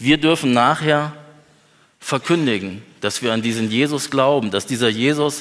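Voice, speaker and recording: A man's medium-pitched voice carries ordinary pitch variation and keeps to a moderate pace. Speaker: preacher. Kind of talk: sermon. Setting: church. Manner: earnest, lively preacher's delivery, conversational with humor.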